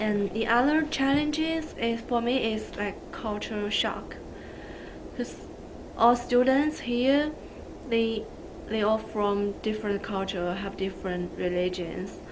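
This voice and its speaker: Amid noticeable background noise and audible room echo, a woman speaks very slowly in a fairly high voice with ordinary pitch variation. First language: not English. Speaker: social work student. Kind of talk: video testimony.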